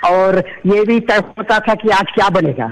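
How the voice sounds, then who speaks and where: Amid noticeable background noise, a man talks at a high pitch with fairly even intonation. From Chhattisgarh, Rajnandgaon. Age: 50s. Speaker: caller, visually impaired teacher. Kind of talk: radio phone-in chat. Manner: polite, deferential.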